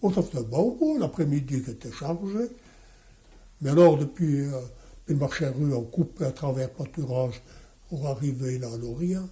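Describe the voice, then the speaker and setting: A man's somewhat breathy, dark and mellow voice, fairly high in pitch with ordinary variation, at a moderate pace. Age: 80s+. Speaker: watchmaker. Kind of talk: interview answer.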